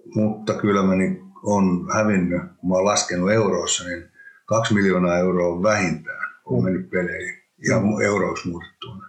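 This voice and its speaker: A man has a plain, everyday voice, fairly low in pitch. He speaks at a fairly slow pace with fairly even intonation. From Finland, Hämeenlinna. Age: 50s. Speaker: former ice hockey player and entrepreneur. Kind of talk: interview, casual conversation. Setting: studio, in person.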